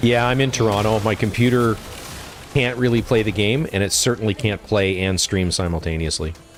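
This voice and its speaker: Fairly quick speech with very even loudness and ordinary pitch variation, over music in the background. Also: man, fairly low pitch for a man. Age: old. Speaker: gaming streamer. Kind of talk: casual chat. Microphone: studio dynamic mic.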